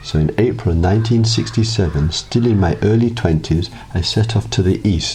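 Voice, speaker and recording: With music in the background, a man with a very deep, low pitch speaks at a moderate pace, his pitch swinging very widely. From South London, England. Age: 60s. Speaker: meditation teacher. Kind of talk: scripted narration.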